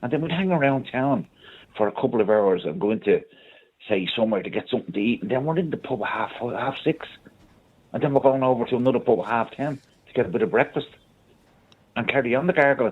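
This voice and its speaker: Speaking at a very fast pace with lively intonation, a man with a medium pitch talks in a Dublin accent. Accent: Dublin Irish. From Ireland, Dublin. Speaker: caller. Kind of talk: radio phone-in chat. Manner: animated.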